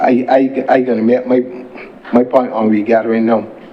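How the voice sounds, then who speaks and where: A man's medium-pitched voice at a moderate pace, flat and monotone, with noticeable background noise. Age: 60s. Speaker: senator. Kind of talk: parliamentary speech. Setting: parliament chamber.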